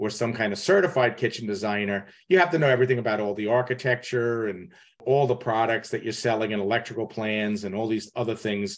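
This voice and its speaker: A man's medium-pitched voice at a very fast pace, with ordinary pitch variation and a quiet background. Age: 60s. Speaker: kitchen designer and podcast host. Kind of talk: advice call-in conversation.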